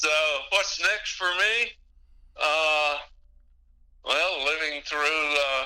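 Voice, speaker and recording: A man with a slight Texas accent at a very slow pace, with long, frequent pauses and very even loudness. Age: 80s+. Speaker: radio DJ. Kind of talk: interview. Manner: hesitant, many fillers.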